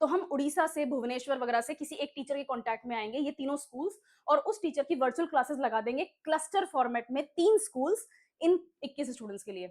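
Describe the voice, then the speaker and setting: A woman talks at a high pitch with lively intonation. Her pace is moderate. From Rajasthan, India. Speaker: online exam-prep teacher. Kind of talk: online lecture.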